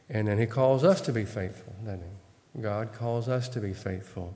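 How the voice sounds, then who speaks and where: A soft-spoken man with an American accent, a dark, mellow tone and ordinary pitch variation. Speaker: Bible study teacher. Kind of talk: Bible study teaching.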